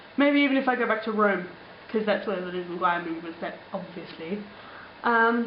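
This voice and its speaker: A woman with an Australian accent at a moderate pace, with noticeable background noise and audible room echo. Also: medium pitch for a woman, ordinary pitch variation. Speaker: vlogger. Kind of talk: casual vlog, answering comments. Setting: alone in apartment. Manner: chatty, many fillers.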